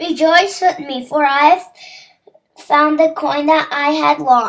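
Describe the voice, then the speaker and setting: A female-sounding cartoonish character voice, pitched high for a woman, moves at a fairly slow pace. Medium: puppet. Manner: joyful.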